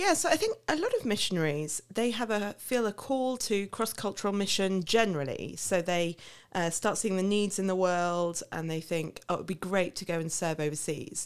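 With lively intonation, a woman speaks with hardly any pauses. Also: medium pitch for a woman, moderate pace. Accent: southern English. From England, Milton Keynes. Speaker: missionary. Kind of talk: interview. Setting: studio.

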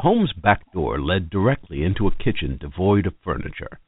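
The voice reads the text aloud. It sounds natural, as reading voices go.

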